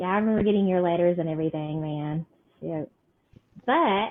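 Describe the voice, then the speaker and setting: In an Appalachian accent, a woman speaks with fairly even intonation. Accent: Appalachian Kentucky. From eastern Kentucky. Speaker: podcast host. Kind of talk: casual chat.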